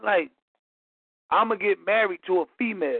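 A man with an American accent, a high pitch and a moderate pace. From Philadelphia. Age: 30s. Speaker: caller. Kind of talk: call-in discussion.

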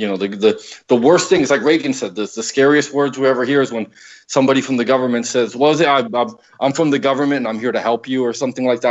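With an American accent, a man speaks in an ordinary speaking voice at medium pitch with ordinary pitch variation. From Paterson, New Jersey, US. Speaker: political columnist. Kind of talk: casual political talk show discussion.

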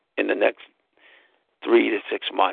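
A man at a moderate pace. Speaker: podcast host. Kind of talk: solo monologue podcast. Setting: at home on sofa. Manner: animated.

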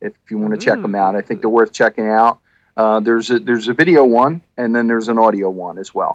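This man talks at a very fast pace and a medium pitch, with ordinary pitch variation. The sound is dry and close, with no echo. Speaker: podcast co-host. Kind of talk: casual chat. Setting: video call.

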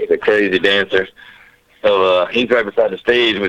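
A man at a moderate pace, with a Louisiana accent. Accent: Southern US (Louisiana). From Southwest Louisiana. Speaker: DJ and music producer. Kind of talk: casual interview chat.

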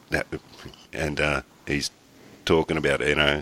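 Speaking with an Australian accent, a man has a very deep, low pitch, a bright, sharp tone and vocal fry. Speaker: podcast host. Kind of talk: casual chat.

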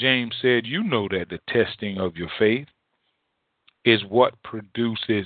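The man speaks at a fairly slow pace. The sound is dry and close, with no echo.

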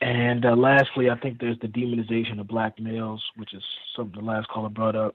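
A man with an American accent talks at a very fast pace and a medium pitch. His intonation is monotone and flat, while his loudness swings a lot. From St. Louis, Missouri. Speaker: caller. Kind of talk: call-in discussion. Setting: phone call.

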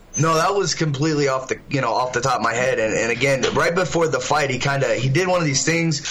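Over noticeable background noise, a man speaks at a fairly quick pace. His pitch is fairly high, with ordinary variation. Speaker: fighter. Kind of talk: casual interview.

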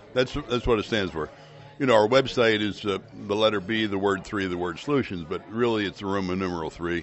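Fairly low-pitched man's voice with ordinary pitch variation, music in the background. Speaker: company executive. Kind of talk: casual interview. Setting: restaurant, on location.

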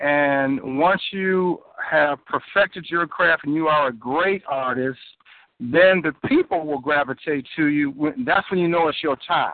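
In a plain, everyday voice, a man speaks at a fairly slow pace and a fairly high pitch, with ordinary pitch variation. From Chicago. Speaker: music producer. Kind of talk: radio call-in. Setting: phone call.

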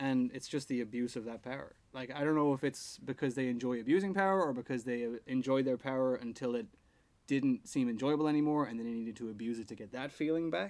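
Speaking at a very fast pace, a man talks in an Irish accent. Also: medium pitch for a man, ordinary pitch variation. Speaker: podcast co-host. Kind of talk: casual chat.

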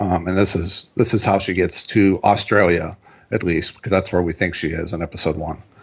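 A somewhat breathy man's voice, very deep and low, fairly quick and fairly even in intonation. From Pittsburgh. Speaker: podcast co-host. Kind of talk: casual chat.

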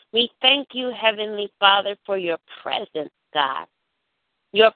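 A woman speaks in an intense tone at a fairly slow pace with ordinary pitch variation. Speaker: prayer call leader and minister. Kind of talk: fervent prayer. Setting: phone prayer call. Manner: rhythmic, repetitive, pleading; intense, emotionally charged, worshipful.

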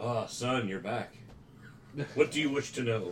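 A man's put-on character voice at a medium pitch and moderate pace, over clear background noise.

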